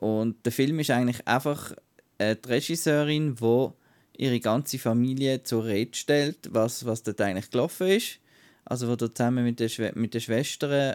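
A man with a Swiss accent speaks at a moderate pace with a medium pitch, ordinary pitch variation and very even loudness. The sound is dry and close with no echo, in a very clean recording with a silent background. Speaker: film podcast co-host. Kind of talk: casual chat.

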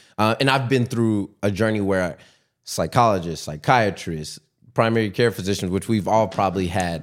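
A man uses a normal speaking voice, fairly low in pitch with ordinary pitch variation, at a moderate pace. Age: 20s. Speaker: businessman guest sharing ADHD experience. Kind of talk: casual interview chat.

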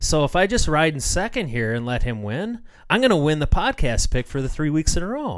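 A man speaks at a fairly quick pace. His fairly high voice swings very widely in pitch. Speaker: podcast co-host and racing commentator. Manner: soft-spoken, told to talk louder.

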